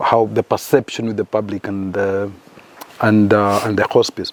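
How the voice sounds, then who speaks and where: A man talks fairly quickly while clearly audible noise runs underneath. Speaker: hospice director, former navy. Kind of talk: casual podcast conversation. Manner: hesitant, repeats words.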